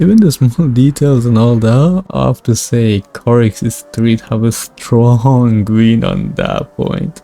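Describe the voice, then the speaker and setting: Over noticeable background noise, a man speaks at a very slow pace with hardly any pauses. His pitch is medium, with ordinary variation. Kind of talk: game review commentary. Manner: loud.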